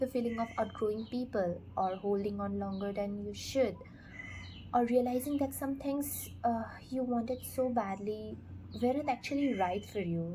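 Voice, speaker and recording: A woman's calm, fairly slow delivery with long, frequent pauses. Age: 20s. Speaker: book reviewer. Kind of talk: casual talk to camera. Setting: earbud microphone. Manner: calm, reflective.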